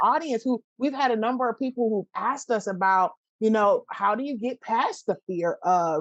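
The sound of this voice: The speaker is a woman with a fairly high pitch. She talks at a moderate pace.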